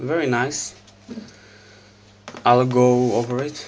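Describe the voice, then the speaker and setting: Spoken with a non-native accent, the clip has noticeable background noise. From Israel. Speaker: scale model collector. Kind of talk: casual unboxing review to camera.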